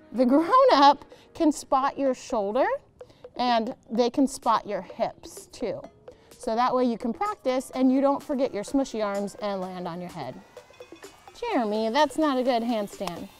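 Faint music plays behind a woman's voice. She speaks high-pitched and at a fairly slow pace. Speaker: gymnastics coach. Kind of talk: tutorial. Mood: playful, encouraging. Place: street. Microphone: lapel.

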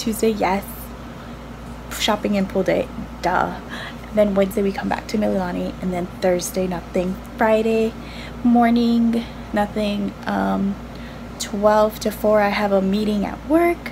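There is noticeable background noise as a woman speaks at a fairly slow pace. She uses ordinary pitch variation and takes long, frequent pauses. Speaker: vlogger. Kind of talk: casual vlog chat. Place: home room. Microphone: phone near.

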